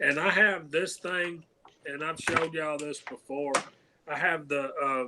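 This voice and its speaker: Fairly slow and fairly even in intonation, a man talks with a Southern US accent. His pitch sits fairly high. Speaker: shooting hobbyist panelist. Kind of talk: casual chat. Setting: live stream.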